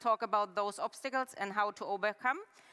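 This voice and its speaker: A woman's bright, sharp, fairly high voice with a German accent, fairly even intonation and a fairly quick pace. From Germany. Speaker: head of UX research, conference speaker. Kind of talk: conference talk. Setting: stage with live and online audience. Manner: interactive, conversational.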